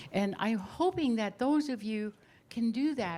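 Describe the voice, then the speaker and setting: Over noticeable background noise, a woman speaks at a moderate pace with an American accent. Her pitch varies in an ordinary way. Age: 70s. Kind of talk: panel talk at a book release.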